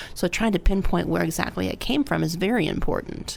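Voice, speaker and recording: A woman speaks over noticeable background noise. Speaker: audiologist. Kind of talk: radio interview chat. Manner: fast when excited.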